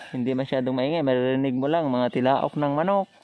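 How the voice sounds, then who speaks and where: The recording sounds dry with no echo and carries light background noise. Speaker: motovlogger. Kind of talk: casual vlog chat. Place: motorbike. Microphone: phone near.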